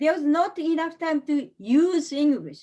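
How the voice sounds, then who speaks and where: A woman with a Japanese accent speaks at a fairly slow pace in a dark, mellow tone. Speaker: English teacher, seminar speaker. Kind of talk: online seminar presentation. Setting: online webinar. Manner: halting.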